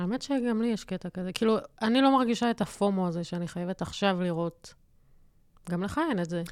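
An unremarkable speaking voice: a woman at medium pitch, fairly quick pace and ordinary pitch variation, on a very clean recording with a silent background. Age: 30s. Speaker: graphic designer podcast co-host. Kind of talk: casual chat. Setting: studio.

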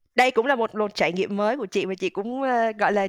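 Over a quiet background, a woman talks at a very fast pace with fairly high pitch and ordinary pitch variation. The sound is dry and close, with no echo. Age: 30s. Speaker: digital marketing manager. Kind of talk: interview.

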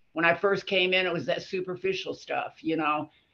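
A woman with an American accent has a fairly low pitch and ordinary pitch variation. Her tone is bright and sharp. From Florida panhandle. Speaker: recovery group member. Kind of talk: casual group discussion.

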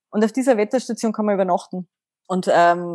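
A woman talks at a medium pitch. The sound is dry and close with no echo, over a quiet background. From Austria, Carinthia. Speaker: mental coach. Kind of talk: interview.

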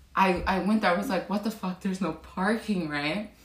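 A woman speaks in an animated tone at a medium pitch with ordinary pitch variation, against noticeable background noise. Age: 20s. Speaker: beauty business owner. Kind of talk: casual chat.

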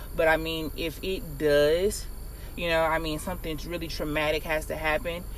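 There is a moderate pace to the speech, and echo from the room can be heard. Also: woman. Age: 20s. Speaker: educator. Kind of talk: casual chat.

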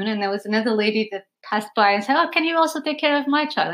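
A woman with a Portuguese accent and a fairly high pitch talks at a very fast pace with lively intonation. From Portugal. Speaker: yoga teacher, nomad. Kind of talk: podcast interview. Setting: in the host's home.

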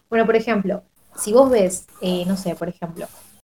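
A woman with a normal speaking voice talks at a moderate pace in a medium pitch, her intonation fairly even. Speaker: podcast panelist. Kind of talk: casual chat. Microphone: quiet, low volume.

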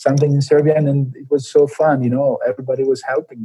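At a very fast pace, a man talks with a somewhat breathy, dark, mellow tone at a medium pitch. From Milan, Italy. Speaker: Olympic runner. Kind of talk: interview.

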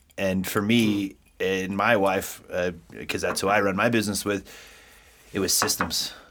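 A man speaks at a moderate pace with a fairly low pitch and monotone, flat intonation, leaving long, frequent pauses. The recording is very clean, with a silent background. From US East Coast. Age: 40s. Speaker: podcast co-host, entrepreneur. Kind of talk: casual podcast chat.

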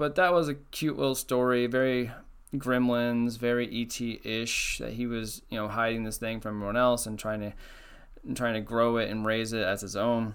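Fairly even in intonation, a man talks at a moderate pace with a medium pitch. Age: 30s. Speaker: podcast host. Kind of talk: solo casual commentary. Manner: off the cuff, rambling.

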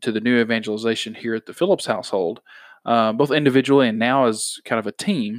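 In a very clean, dry recording, close with no echo and a silent background, a man with a plain, everyday voice talks at a medium pitch and a fairly quick pace. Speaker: podcast host. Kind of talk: casual chat about faith. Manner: conversational, informal.

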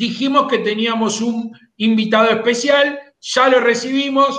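Speaking very slowly in a Rioplatense accent, a man uses an extremely high pitch and a bright, sharp tone. Room echo is audible. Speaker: horse racing radio host. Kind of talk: radio talk show.

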